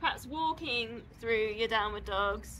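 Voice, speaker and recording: A woman talks at a fairly slow pace while light background noise sits behind her. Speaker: yoga instructor. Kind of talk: tutorial. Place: open country. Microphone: camera far.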